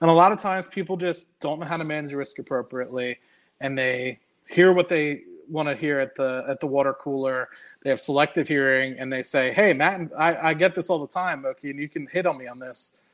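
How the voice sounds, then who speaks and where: A man with an American accent has a normal speaking voice, fairly high in pitch, with ordinary pitch variation and big swings in loudness. He speaks at a fairly quick pace on a very clean recording with a silent background. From United States. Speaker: finance YouTuber. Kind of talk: casual chat.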